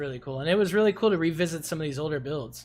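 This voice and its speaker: Lively, somewhat breathy speech from a man. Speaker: game streamer. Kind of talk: live stream commentary.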